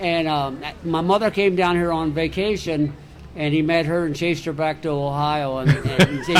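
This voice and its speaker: Noticeable background noise sits behind this voice. The speaker has an American accent and talks at a moderate pace. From Sarasota, Florida. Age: 70s. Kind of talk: interview answer.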